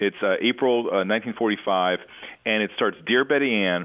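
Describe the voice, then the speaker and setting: Here is a man with a Mid-Atlantic accent and a medium pitch. His pace is moderate, with ordinary pitch variation. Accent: American, Mid-Atlantic. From Washington, D.C. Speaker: project director and war letters collector. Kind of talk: interview.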